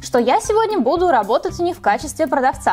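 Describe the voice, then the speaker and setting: Faint music sits in the background as a woman talks at a very fast pace. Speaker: beauty vlogger. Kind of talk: casual vlog chat. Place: home room.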